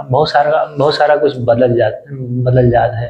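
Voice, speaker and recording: A man is speaking. He has an Awadh accent. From Ayodhya area, Uttar Pradesh, India. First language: Awadhi (speaking Hindi). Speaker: vlogger. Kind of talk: casual vlog talk to camera. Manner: halting, many fillers.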